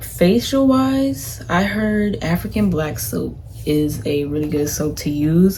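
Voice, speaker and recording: Soft-spoken, a woman talks in a very deep, low voice. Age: young. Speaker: college student vlogger. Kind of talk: casual chat. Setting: dorm room.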